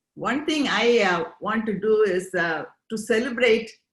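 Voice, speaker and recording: This woman has a fairly high pitch and lively intonation, and she talks at a fairly slow pace. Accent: Indian. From India. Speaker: interviewee, immigrant. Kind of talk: interview.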